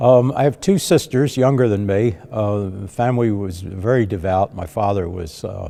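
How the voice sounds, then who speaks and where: A man with a Philadelphia accent speaks at a fairly low pitch in a dark, mellow tone. He hardly pauses at all. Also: ordinary pitch variation, moderate pace. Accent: Philadelphia-area US. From South Jersey / Delaware County, Pennsylvania. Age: 70s. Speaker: retired priest. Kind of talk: interview, life story.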